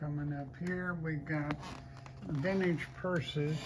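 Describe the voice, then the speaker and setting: Very slow delivery against light background noise. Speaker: estate auction host. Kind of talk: walkthrough commentary describing items. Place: hall. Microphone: phone near.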